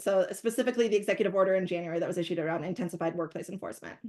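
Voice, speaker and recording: A woman is speaking. The background is quiet. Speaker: company CEO and webinar moderator. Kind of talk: webinar presentation. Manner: fast.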